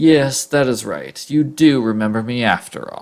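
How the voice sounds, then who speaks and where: The speaker uses a put-on character voice with a low-to-middle pitch. The pace is moderate. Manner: mocking.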